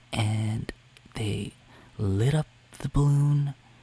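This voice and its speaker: The voice is soft-spoken and calm in tone, with fairly even intonation. Noticeable background noise runs underneath. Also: man. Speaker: travel vlogger. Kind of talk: ASMR travel story narration. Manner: soft-spoken, calm.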